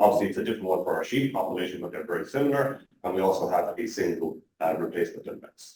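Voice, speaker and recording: This man talks at a very fast pace. He has a strong Irish accent. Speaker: animal genetics researcher. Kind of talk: conference talk.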